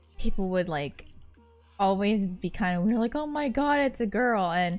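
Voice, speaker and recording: At a moderate pace, a woman mumbles with very wide pitch swings in a very clean recording with a silent background. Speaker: streamer. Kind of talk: casual chat. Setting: live stream. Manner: mumbling.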